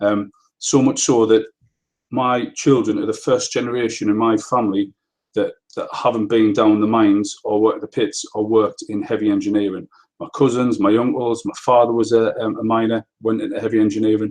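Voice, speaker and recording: Monotone and flat in intonation, the delivery runs at a fairly quick pace. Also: man, medium pitch for a man. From northeast England, Easington, County Durham. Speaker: property investor and webinar presenter. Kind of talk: webinar presentation. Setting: online live webinar. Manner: casual, hesitant with frequent fillers.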